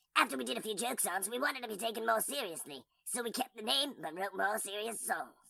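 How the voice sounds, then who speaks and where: In a female-sounding put-on character voice of medium pitch, the speaker races at a very fast pace with hardly any pauses. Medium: audio drama. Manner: casual, cool.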